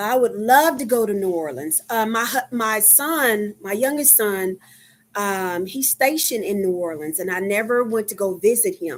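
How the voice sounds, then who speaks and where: A woman with a Texan accent speaks in a fairly high voice with lively intonation. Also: moderate pace, very clean recording, silent background. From Texas, Dallas. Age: 50s. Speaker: livestreamer, medical worker. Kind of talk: casual livestream chat. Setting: live stream. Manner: halting, many fillers.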